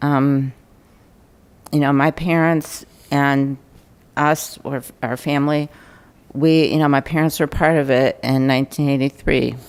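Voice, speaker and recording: Slow-ish and flat, this monotone voice with an American accent moves at a fairly slow pace with long, frequent pauses. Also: woman, very deep, low pitch for a woman. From Ohio, US Midwest. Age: 50s. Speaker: resident speaking at public meeting. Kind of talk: public comment at council meeting. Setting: city council meeting. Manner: hesitant, many ums.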